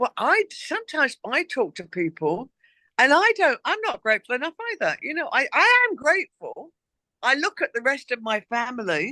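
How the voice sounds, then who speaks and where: A woman speaks in an English accent with a bright, sharp tone. Her pitch swings very widely, and the sound is dry and close with no echo. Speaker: author and former stylist. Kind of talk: casual interview chat.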